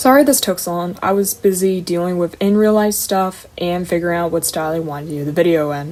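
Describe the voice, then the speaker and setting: A woman at a medium pitch with ordinary variation, talking at a fairly quick pace over music in the background. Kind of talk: casual talk to camera. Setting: home recording, poor mic. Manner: fast.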